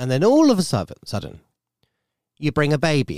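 The speaker has an English accent and a moderate pace. The sound is dry and close with no echo, very clean against a silent background. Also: man. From UK. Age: 30s. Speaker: podcast host. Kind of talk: casual monologue. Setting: home studio.

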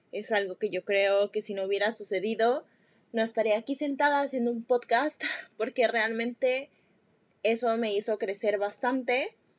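A woman with a Mexican accent and fairly high pitch speaks at a moderate pace with fairly even intonation, the sound dry and close with no echo. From Mexico. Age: 20s. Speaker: podcast host, nutrition student. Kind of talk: solo personal monologue. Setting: seated recording podcast. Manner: casual, with filler words.

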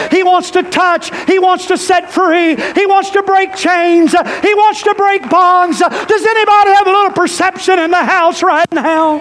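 The delivery is animated, at a fairly slow pace with hardly any pauses. Background noise is noticeable. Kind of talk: sermon. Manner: animated, rousing call-and-response, urging the congregation to shout; fervent, exhorting, rhythmic repetition.

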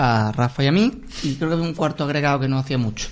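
This is a man's voice. Its pitch variation is ordinary. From Córdoba, Andalusia. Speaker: podcast co-host. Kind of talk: casual chat.

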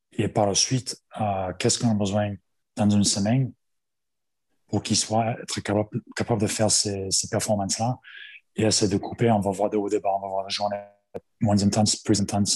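Against a quiet background, a man with a fairly low pitch and a dark, mellow tone speaks at a moderate pace in a monotone, flat intonation, leaving long, frequent pauses. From Australia. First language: English (speaking French). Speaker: rugby strength and conditioning coach, former player. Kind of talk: interview. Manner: halting.

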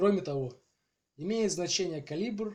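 A man with a somewhat breathy voice. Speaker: podcast host. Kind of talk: scripted narration. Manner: halting.

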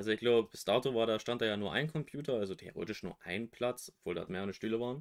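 At a very fast pace with hardly any pauses, a man talks at a medium pitch with ordinary pitch variation. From western Germany. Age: 20s. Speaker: podcast co-host. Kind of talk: casual chat. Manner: different from usual, careful voice.

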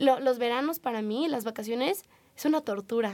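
Pitch moves with ordinary variation. The delivery is fairly quick. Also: woman. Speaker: podcast host. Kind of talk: casual chat.

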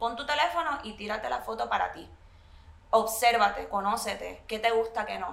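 A woman speaks in a room with audible echo, her loudness swinging widely. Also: moderate pace. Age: 30s. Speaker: blogger and single mother. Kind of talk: casual interview chat. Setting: hotel suite.

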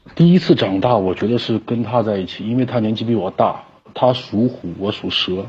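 At a moderate pace, a man speaks in a somewhat breathy voice of medium pitch with ordinary pitch variation. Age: 30s. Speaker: caller. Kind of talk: personal testimony on call. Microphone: connection dropping.

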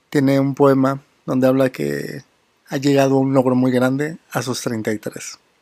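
This man talks with a fairly high pitch. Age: 30s. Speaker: poetry podcast host. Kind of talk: poetry reading with commentary.

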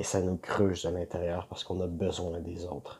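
A man with a Quebec accent talks at a moderate pace. His very deep, low voice is dark, mellow and somewhat breathy. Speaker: vlogger and small online seller. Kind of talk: casual vlog monologue.

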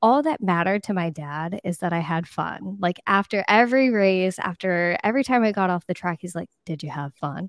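With an American accent, a woman in an ordinary speaking voice talks at medium pitch and a moderate pace, hardly pausing at all. Her intonation is lively, and the sound is dry and close with no echo. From Florida East Coast. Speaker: marriage and family therapist. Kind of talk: interview. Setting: live-streamed video call.

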